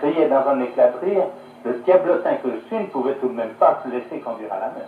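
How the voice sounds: Fairly quick speech from a man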